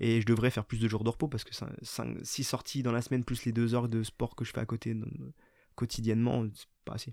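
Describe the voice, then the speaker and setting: Fairly quick and monotone, a man speaks with flat intonation at a medium pitch. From Vosges, eastern France. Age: 30s. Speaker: amateur ultra-trail runner, firefighter. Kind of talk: casual interview chat. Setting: studio. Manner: fast.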